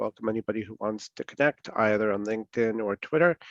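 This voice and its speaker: A man speaks fairly quickly in a plain, everyday voice with ordinary pitch variation. The sound is dry and close with no echo, over a quiet background. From New York. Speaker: security speaker. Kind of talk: lecture. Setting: video call.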